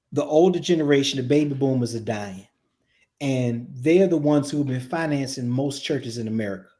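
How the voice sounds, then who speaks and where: A man with a Virginia accent, a fairly high pitch, a dark, mellow tone and ordinary pitch variation. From Virginia (Richmond). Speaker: production and staffing consultant for churches. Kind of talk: casual podcast conversation.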